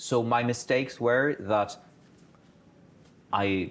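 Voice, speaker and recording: The speaker has a non-native accent. Pitch moves in an ordinary way. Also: man, very clean recording, silent background. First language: not English. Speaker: career talk speaker, PhD holder. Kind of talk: panel talk to students.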